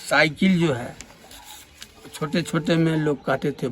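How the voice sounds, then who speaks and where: Music plays in the background as a man speaks. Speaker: retired railway worker. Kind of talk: oral history interview answer.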